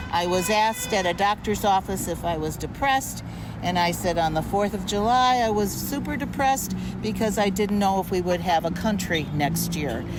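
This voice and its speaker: Room echo is audible as a woman talks at a moderate pace. Noticeable background noise runs underneath. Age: 70s. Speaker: protest participant. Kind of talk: street interview. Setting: outdoors by busy street.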